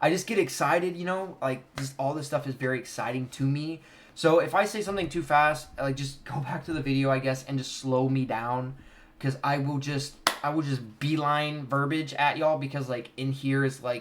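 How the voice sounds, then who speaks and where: This man's voice sits fairly high in pitch. His intonation stays fairly even. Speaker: card game content creator. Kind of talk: tutorial. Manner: fast.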